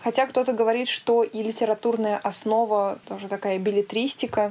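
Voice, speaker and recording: A woman speaks in a plain, everyday voice at a fairly high pitch. Her pace is moderate and her intonation fairly even. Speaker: podcast co-host. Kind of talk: casual chat. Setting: video call.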